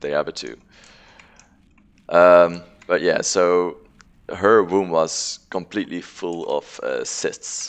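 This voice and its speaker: Speaking at a very slow pace with long, frequent pauses, a man with a strong non-native accent shows big swings in loudness. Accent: thick non-native English. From non-English-speaking country. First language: not English. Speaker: video game streamer. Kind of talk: casual live-stream chat. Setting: live stream. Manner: hesitant with many fillers.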